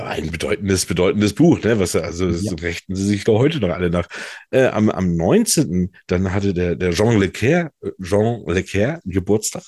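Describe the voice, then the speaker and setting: A man's fairly low voice, dark and mellow in tone, against a quiet background. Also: ordinary pitch variation, moderate pace. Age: 40s. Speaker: podcast co-host. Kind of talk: casual chat. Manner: halting, many fillers.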